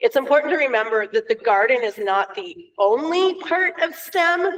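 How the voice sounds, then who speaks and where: A loud woman's voice, extremely high-pitched, with very wide pitch swings at a moderate pace. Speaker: elementary STEM teacher. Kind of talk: public meeting presentation. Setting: school board meeting.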